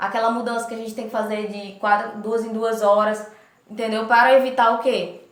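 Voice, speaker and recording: The room echo is audible as a woman speaks. Her pace is moderate and her pitch fairly high. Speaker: nursing instructor. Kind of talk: lecture.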